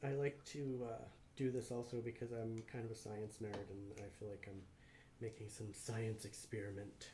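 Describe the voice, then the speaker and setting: Somewhat breathy and dark and mellow in tone, a man's medium-pitched voice moves at a moderate pace with fairly even intonation amid audible room echo. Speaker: resin artist and co-host of a home livestream. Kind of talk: casual livestream chat while demonstrating a craft. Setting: at home, livestream. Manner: mumbling.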